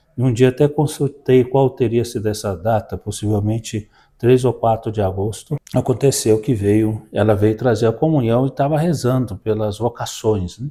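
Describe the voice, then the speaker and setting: Medium-pitched male voice, dark and mellow and somewhat breathy, at a moderate pace with ordinary pitch variation, in a very clean recording with a silent background. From Brazil, Minas Gerais (Belo Horizonte, Sabará). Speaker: parish priest. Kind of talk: interview about life story.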